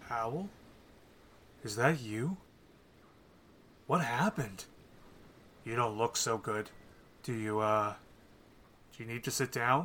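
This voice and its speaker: At a fairly slow pace with long, frequent pauses, a man speaks at medium pitch. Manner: concerned, cautious, then horrified.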